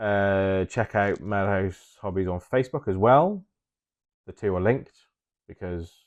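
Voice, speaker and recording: With an English accent, a man speaks at a fairly slow pace with a fairly low pitch and ordinary pitch variation, taking long, frequent pauses against a quiet background. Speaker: hobby YouTuber and miniature painter. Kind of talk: casual monologue to camera. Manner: hesitant, many filler ums.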